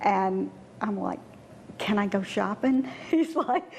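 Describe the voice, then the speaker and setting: A woman with very wide pitch swings. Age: 60s. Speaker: heart surgery patient. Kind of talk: interview testimony.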